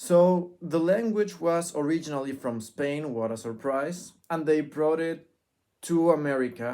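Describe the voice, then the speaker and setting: Speaking at a fairly slow pace, a man has a Spanish accent and a fairly high pitch. His tone is dark and mellow, with ordinary pitch variation. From Mexico. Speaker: vlogger. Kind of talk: casual vlog monologue. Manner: halting, self-correcting.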